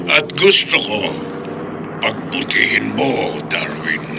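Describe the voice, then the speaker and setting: A man's put-on character voice over loud background noise. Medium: old radio play. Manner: smug, menacing.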